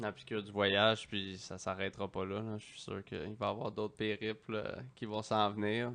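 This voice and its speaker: In a Quebec accent, a man speaks at a moderate pace with a monotone, flat intonation. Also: fairly low pitch for a man. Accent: Québécois French. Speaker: podcast host. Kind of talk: casual interview. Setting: studio.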